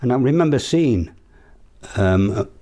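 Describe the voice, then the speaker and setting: A man speaks with a Yorkshire accent. His tone is dark and mellow. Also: quiet background. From northern England, South Yorkshire (Sheffield). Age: 80s+. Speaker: local resident sharing memories. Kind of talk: oral history interview. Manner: halting.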